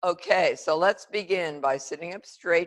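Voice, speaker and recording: With a plain, everyday voice, a woman speaks at a fairly slow pace with ordinary pitch variation in a dry, close sound with no echo. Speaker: yoga teacher. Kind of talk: guided yoga class instruction. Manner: calm, measured.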